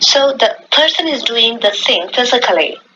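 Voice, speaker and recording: Noticeable background noise accompanies a woman speaking at a high pitch. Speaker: English professor. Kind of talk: lecture. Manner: formal; slow.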